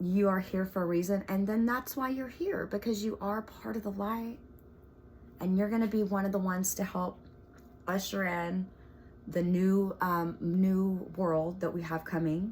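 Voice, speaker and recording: Somewhat breathy woman at medium pitch, fairly even intonation, moderate pace. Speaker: spiritual video host. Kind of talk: casual monologue to camera. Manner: halting, many fillers.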